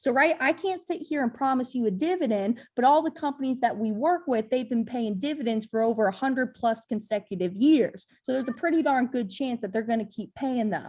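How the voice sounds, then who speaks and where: Speaking high-pitched with lively intonation, a woman moves at a fairly quick pace with hardly any pauses over a quiet background. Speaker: financial educator. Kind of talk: Q&A session. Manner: fast; halting, repeats words.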